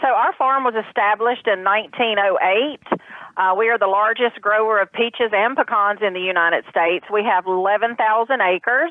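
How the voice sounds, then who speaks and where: A woman speaks at a fairly high pitch with a Southern US accent and ordinary pitch variation. Her loudness stays very even, and her pace is fairly quick. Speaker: farm representative. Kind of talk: interview.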